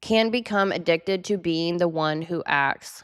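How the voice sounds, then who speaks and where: A woman with an unremarkable speaking voice, fairly low in pitch, with ordinary pitch variation at a fairly slow pace, on a very clean recording with a silent background. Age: 30s. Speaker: astrology and psychology video creator. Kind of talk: solo video talk reading from notes. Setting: home studio with bay door open, cold.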